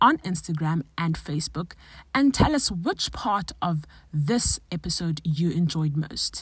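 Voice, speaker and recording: A woman talks at a fairly slow pace in a plain, everyday voice. Her pitch is fairly low, and her intonation is lively. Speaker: podcast host, occupational therapist. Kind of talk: interview, casual chat.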